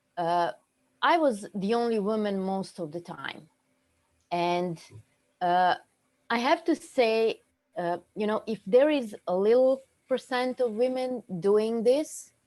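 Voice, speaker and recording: A woman with a dark, mellow tone and lively intonation speaks at a very slow pace, leaving long, frequent pauses. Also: fairly high pitch for a woman. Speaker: web developer. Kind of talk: online meetup discussion. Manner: loud, direct; halting, many fillers.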